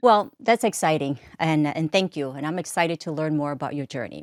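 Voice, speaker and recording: A woman with a non-native accent speaks in a very deep, low pitch with ordinary pitch variation. The sound is dry and close with no echo, in a very clean recording with a silent background. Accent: foreign accent in English. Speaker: podcast host. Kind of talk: interview conversation.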